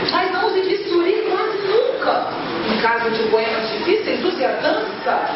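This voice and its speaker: Amid loud background noise and audible room echo, a woman talks at a moderate pace. Her pitch swings very widely. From Espírito Santo, Brazil. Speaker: poet. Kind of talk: poetry reading. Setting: live event. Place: cafe. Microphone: camera far.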